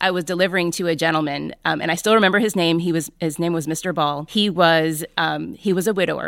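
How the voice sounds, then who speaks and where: Her voice is an unremarkable speaking voice, fairly low in pitch, with ordinary pitch variation and a fairly quick pace. The woman is on a very clean recording, silent background. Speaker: podcast host and volunteer. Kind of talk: interview.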